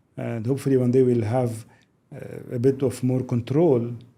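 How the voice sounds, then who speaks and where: Speaking in a Lebanese accent, a man has a dark, mellow tone, medium pitch, fairly even intonation and a moderate pace. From Lebanon. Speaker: business executive. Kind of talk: podcast interview.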